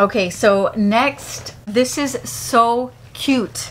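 Over light background noise, a woman speaks in a high voice. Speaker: beauty vlogger. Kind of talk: casual vlog chat. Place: home room.

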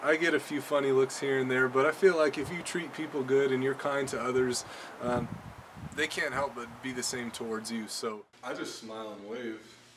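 With big swings in loudness and ordinary pitch variation, the speech moves at a moderate pace over noticeable background noise. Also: man. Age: 20s. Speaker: rehabilitation specialist. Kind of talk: audition video monologue. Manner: casual, hesitant with fillers. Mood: friendly, earnest. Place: open country.

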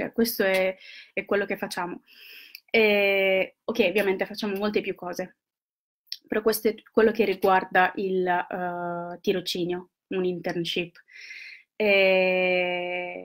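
A woman speaks at a medium pitch in a flat, monotone way, very slowly. She leaves long, frequent pauses against a quiet background. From Italy. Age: 30s. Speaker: university intern presenting agency services. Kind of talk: live video presentation. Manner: halting, many fillers. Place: home room. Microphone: webcam.

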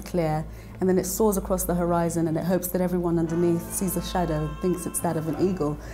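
The speaker talks with a London accent while faint music plays in the background. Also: woman. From London, raised in Nigeria-born diaspora. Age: young. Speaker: singer-songwriter and composer. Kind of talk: interview answer. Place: studio. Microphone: lapel.

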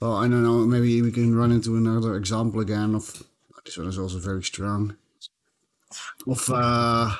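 A man at a moderate pace, fairly low in pitch, with little pitch movement

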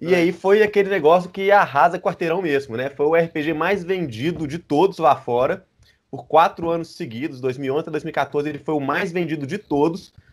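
A quiet background behind a man's moderately paced speech with normal pitch movement. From Brazil. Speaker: RPG translator; guest. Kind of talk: casual chat. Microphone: video call.

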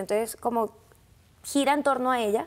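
The speaker has a Colombian coastal accent. Pitch variation is ordinary. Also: woman. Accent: Colombian coastal (costeño). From Colombian Caribbean coast, Sincelejo. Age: 20s. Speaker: actress. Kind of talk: interview. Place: studio. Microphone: lapel.

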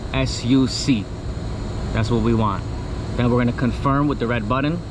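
With clear background noise, a man speaks at a moderate pace and a medium pitch, his pitch variation ordinary.

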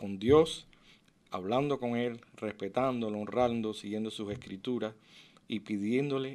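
Speaking with a Cuban accent, a man goes at a fairly slow pace with fairly even intonation. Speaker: physician; interview guest. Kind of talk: interview testimony. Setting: radio studio. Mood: warm, earnest. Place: studio. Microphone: studio mic.

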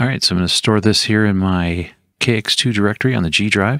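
Over a silent background on a very clean recording, a man speaks fast in a fairly low pitch, with a fairly bright tone and ordinary pitch variation.

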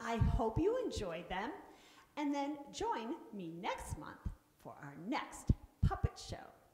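Amid noticeable background noise, a woman speaks very slowly at a high pitch, her loudness swinging widely. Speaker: puppeteer host. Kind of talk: show closing announcement. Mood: warm and friendly. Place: stage. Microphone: headset.

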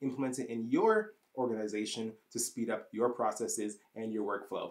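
A man with a Canadian accent speaks in an enthusiastic tone. His pitch variation is ordinary, and the background is quiet. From Canada. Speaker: YouTube software tutorial host. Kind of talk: channel intro to camera. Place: home room.

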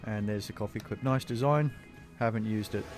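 A man at a fairly quick pace, ordinary pitch variation, dry sound with no echo, and clear music in the background. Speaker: travel vlogger. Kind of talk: casual vlog chat. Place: cafe. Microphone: phone near.

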